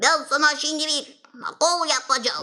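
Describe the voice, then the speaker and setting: A cartoonish character voice speaks at a moderate pace. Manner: gentle, caring.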